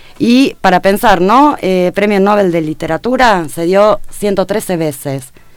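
Her intonation lively, a woman with a medium pitch speaks at a very slow pace with hardly any pauses. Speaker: radio co-host. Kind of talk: news reading.

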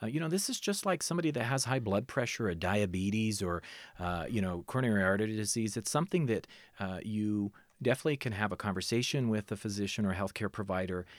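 Talking at a very fast pace with lively intonation, a man with a fairly low pitch is heard in a very clean recording with a silent background. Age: 30s. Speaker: emergency medical services director. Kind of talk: interview. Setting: studio.

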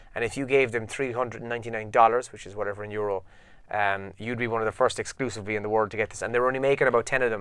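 Speaking with an Irish accent, a man talks at a very fast pace and a medium pitch. His intonation is fairly even, but his loudness swings a lot. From Ireland. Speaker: podcast co-host. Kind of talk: casual chat. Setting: office studio, video recorded.

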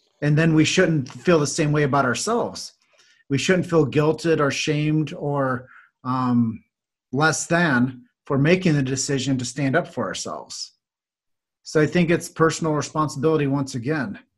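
A somewhat breathy man with an American accent speaks at a fairly high pitch. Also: ordinary pitch variation, moderate pace. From US Midwest, Davenport, Iowa. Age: 40s. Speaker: chiropractic marketer and podcaster. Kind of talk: podcast interview.

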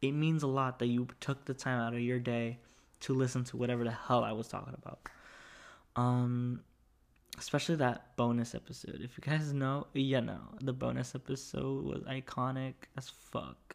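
Keeping a moderate pace, a man talks at a medium pitch with monotone, flat intonation. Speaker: podcast host. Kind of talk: casual solo podcast monologue. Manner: chatty, talkative.

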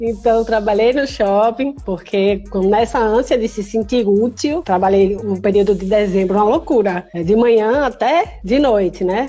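At a fairly slow pace, a woman speaks with a fairly high pitch. Noticeable background noise can be heard. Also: ordinary pitch variation. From Brazil, Recife (Pernambuco). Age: 20s. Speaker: cystic fibrosis patient podcaster. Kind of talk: casual chat.

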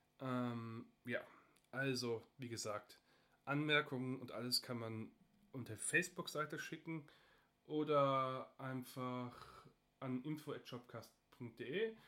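Very slow with long, frequent pauses, a man talks at a medium pitch in a bright, sharp tone with ordinary pitch variation. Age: 30s. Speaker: podcast host, industrial technician and hobby photographer. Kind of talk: casual solo podcast introduction.

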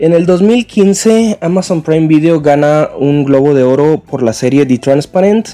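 A man's fairly high voice rises and falls with lively intonation while music plays in the background. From northern Mexico (Chihuahua). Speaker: podcast contributor. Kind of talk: casual presentation. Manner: halting, with fillers.

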